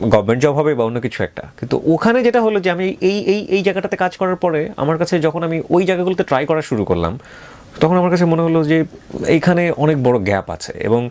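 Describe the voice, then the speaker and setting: A man speaks at a high pitch with lively intonation. Noticeable background noise runs underneath. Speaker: radio host. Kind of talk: interview.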